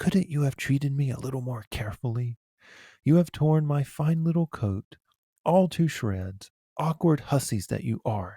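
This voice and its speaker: In a very clean recording with a silent background, a man shouts in a shrill, put-on character voice, fairly high for a man, at a moderate pace. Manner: indignant, screaming.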